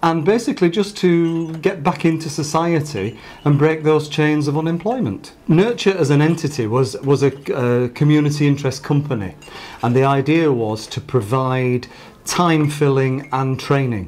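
Over faint music in the background, a man talks at a moderate pace with ordinary pitch variation. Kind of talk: interview answer. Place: office.

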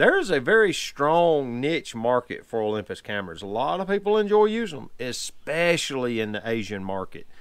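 A man's voice at a moderate pace with very wide pitch swings, set against a quiet background. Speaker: photography vlogger. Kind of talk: casual vlog chat. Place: home room.

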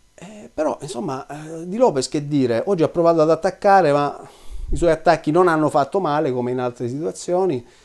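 Against a quiet background, a man talks at a fairly quick pace in a fairly high voice, with ordinary pitch variation and big swings in loudness. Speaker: cycling commentator. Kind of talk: video commentary monologue. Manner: hesitant fillers. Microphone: webcam.

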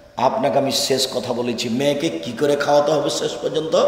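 A man speaks at a fairly high pitch, with audible room echo and light background noise. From Bangladesh. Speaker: Islamic preacher. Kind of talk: religious sermon. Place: hall. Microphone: podium.

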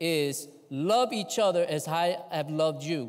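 The man's pitch varies an ordinary amount, and the background is quiet. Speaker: guest preacher. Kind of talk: sermon, scripture reading. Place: church. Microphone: lapel.

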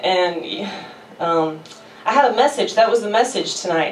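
With audible room echo, a woman speaks at a fairly low pitch and a moderate pace, her pitch varying in an ordinary way.

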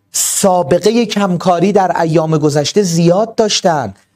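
Here a man speaks in a high voice with lively intonation. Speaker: exam tutor and study counselor. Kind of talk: online class pep talk. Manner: soft-spoken, calm; slow and deliberate.

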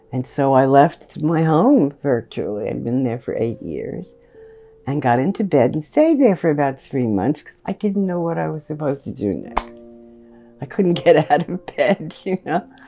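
Moderate pace, big swings in loudness, and faint music in the background. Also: woman, very deep, low pitch for a woman. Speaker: interviewee. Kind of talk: interview answer. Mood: warm, amused. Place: home room.

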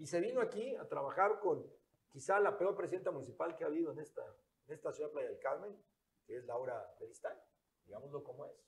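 At a fairly quick pace, a man speaks with big swings in loudness over light background noise. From Quintana Roo. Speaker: political candidate; candidate. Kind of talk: interview. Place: studio. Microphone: lapel.

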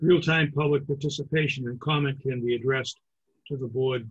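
A man speaks at a moderate pace with a somewhat breathy voice and fairly even intonation. The background is quiet. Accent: American. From Massachusetts. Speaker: planning board chairman. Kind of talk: public meeting chairing. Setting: video call. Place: home room. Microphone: webcam.

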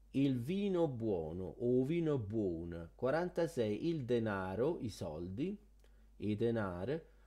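Over a quiet background, a man talks with a dark, mellow tone. His pitch sits at a medium level but makes very wide swings. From Rome. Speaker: YouTuber teaching Italian culture. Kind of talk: video tutorial. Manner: animated.

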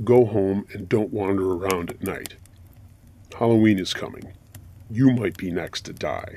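A man performs a put-on character voice. He leaves long, frequent pauses. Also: fairly low pitch for a man, moderate pace. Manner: menacing warning.

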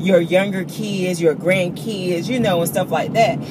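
The recording of a woman is dry, with no echo. Noticeable background noise runs behind her. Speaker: vlogger. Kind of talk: casual vlog chat. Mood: animated storytelling. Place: car. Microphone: phone near.

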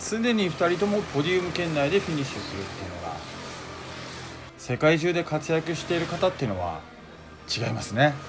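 Music plays behind a man with a fairly high pitch and lively intonation. He leaves long, frequent pauses. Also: fairly quick pace. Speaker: motorsport announcer and video narrator. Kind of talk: race commentary and video narration.

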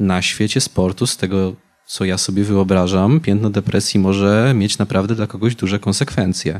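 In a plain, everyday voice, a man speaks at a moderate pace with hardly any pauses. His pitch is fairly low, and his intonation is fairly even. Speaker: youth council moderator. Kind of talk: public talk interview. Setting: stage with audience. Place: stage. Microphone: handheld.

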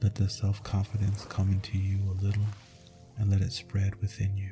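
A man's fairly low, monotone, flat voice at a moderate pace, with music in the background. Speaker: sleep hypnosis and meditation speaker. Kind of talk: sleep hypnosis.

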